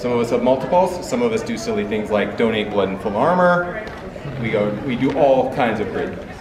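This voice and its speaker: Against noticeable background noise and audible room echo, a man with a Canadian accent speaks fairly quickly at a medium pitch with lively intonation. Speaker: convention panel moderator. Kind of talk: convention panel presentation. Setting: stage with audience, no mic. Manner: loud.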